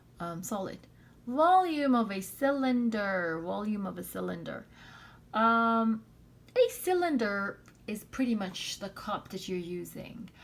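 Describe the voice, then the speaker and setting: A woman talks at a fairly slow pace with a fairly high pitch and lively intonation, her loudness swinging widely. Audible room echo surrounds her voice. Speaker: math teacher. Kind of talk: lecture. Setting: recorded video lesson.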